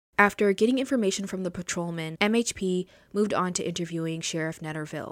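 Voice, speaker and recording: Very fast female speech with ordinary pitch variation. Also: very clean recording, silent background. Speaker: true crime podcaster. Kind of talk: true-crime narration. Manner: measured, serious, formal; steady, even-paced reading of case facts.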